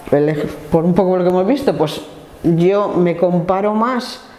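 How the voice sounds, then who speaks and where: A woman's voice moves at a moderate pace with ordinary pitch variation, and noticeable background noise is present. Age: 60s. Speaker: trade unionist. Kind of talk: life story interview. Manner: hesitant, with fillers.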